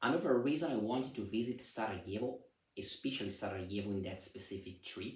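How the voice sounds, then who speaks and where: At a moderate pace, a man with an Italian accent speaks in a fairly low pitch with ordinary pitch variation. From Italy. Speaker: vlogger. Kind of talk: personal travel vlog. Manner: halting, with fillers.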